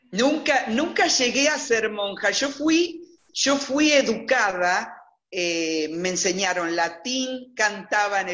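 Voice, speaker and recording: Amid audible room echo, a woman at a medium pitch talks very slowly with very wide pitch swings. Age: 60s. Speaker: interviewee telling her life story. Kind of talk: testimony. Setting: video call.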